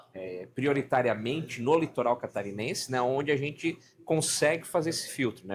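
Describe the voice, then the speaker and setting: A man with an ordinary speaking voice talks at a moderate pace, with ordinary pitch variation. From Santa Catarina coast, southern Brazil. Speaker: podcast host. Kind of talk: casual chat.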